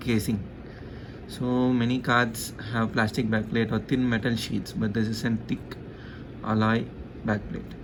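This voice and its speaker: A man at a medium pitch, flat and monotone, at a moderate pace, with audible room echo. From India. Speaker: tech YouTuber. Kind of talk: product review. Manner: casual, hesitant with fillers.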